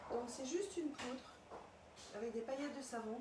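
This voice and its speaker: A woman talks quietly at a fairly quick pace in a high voice with ordinary pitch variation, with noticeable background noise and audible room echo. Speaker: perfume shop owner. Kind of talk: live product presentation. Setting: inside shop, livestream. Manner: quiet, hard to hear; hesitant, with fillers.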